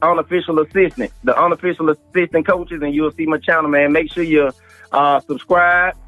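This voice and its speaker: A man's voice comes through dry with no echo, faint music playing in the background. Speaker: remote guest commentator. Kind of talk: interview answer. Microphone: phone line.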